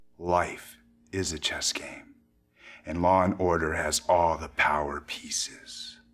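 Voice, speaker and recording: This man puts on a character voice with a very deep, low pitch. He talks at a fairly slow pace. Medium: video game. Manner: measured, wry.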